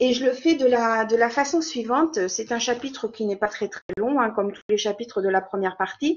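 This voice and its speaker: A woman's fairly high voice with lively intonation. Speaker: French teacher presenting a webinar. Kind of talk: online lecture for teachers. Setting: video call webinar. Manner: halting, many repetitions and fillers.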